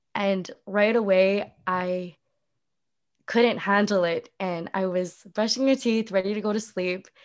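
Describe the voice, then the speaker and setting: In a very clean recording with a silent background, a woman with a Canadian accent and a plain, everyday voice speaks at a medium pitch, at a fairly slow pace, with fairly even intonation. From Vancouver, Canada. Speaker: social media manager. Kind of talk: casual interview chat.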